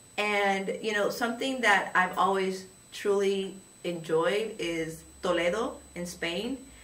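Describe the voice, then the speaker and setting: Amid noticeable background noise and audible room echo, a woman with a Spanish accent speaks very slowly at medium pitch with ordinary pitch variation. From moved around as a child: Louisiana, Georgia, Germany. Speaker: high school Spanish teacher. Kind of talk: interview. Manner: casual, conversational with fillers.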